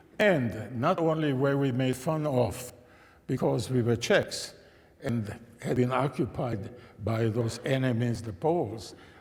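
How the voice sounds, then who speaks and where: Audible room echo surrounds a man who speaks fairly slowly at a medium pitch, somewhat breathy, with ordinary pitch variation. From Czechoslovakia (Český Těšín, Silesia). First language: German. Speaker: Holocaust survivor and religion scholar. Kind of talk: testimony talk to an audience. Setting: church with live audience.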